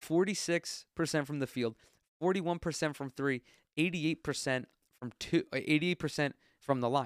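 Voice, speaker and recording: A fairly high-pitched man with an American accent, an animated tone, ordinary pitch variation and a moderate pace, in a very clean recording with a silent background and a dry, close sound with no echo. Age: 20s. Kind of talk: solo casual commentary.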